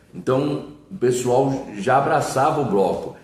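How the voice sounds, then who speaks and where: A man talks with ordinary pitch variation. Noticeable background noise and audible room echo are present. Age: 60s. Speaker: samba singer and composer. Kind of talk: interview.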